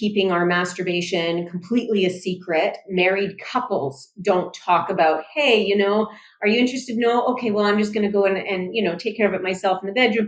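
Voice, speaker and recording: A woman's normal speaking voice with a Canadian accent, at a moderate pace with ordinary pitch variation. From Canada. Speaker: sex therapist and psychologist. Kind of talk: podcast interview. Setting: podcast.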